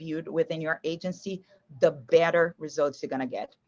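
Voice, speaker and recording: The sound is dry and close with no echo as a woman speaks in a fairly low pitch. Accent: Brazilian Portuguese. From Brazil. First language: Portuguese. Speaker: marketing agency executive. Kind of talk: podcast interview. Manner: warm, many fillers.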